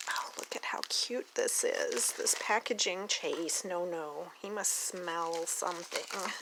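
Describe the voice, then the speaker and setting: Speech comes at a very slow pace with hardly any pauses, in an American accent. Background noise is noticeable. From Oklahoma. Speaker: doll collector YouTuber. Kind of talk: casual unboxing vlog. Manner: animated, excited exclamations.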